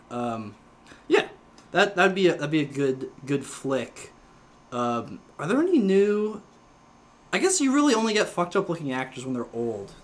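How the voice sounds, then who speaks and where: A man speaks with a high pitch and very wide pitch swings at a moderate pace. Long, frequent pauses break up his speech. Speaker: podcast host. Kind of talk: casual chat. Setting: home studio, drinking. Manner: rambling, filler-heavy.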